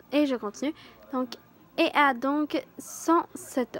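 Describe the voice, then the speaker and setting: In a dry, close recording with no echo, a woman with a Quebec accent speaks in a high pitch with ordinary pitch variation. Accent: Québécois. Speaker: youtuber reading horror stories. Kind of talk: reading aloud a horror story with casual asides. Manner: halting, with hesitations and self-corrections.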